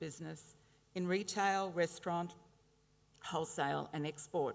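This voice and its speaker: The speaker talks at a moderate pace with an Australian accent. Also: woman. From Brisbane, Australia. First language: Italian. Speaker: honorary graduate speaker. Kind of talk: ceremonial speech. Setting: graduation ceremony with audience. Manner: hesitant fillers.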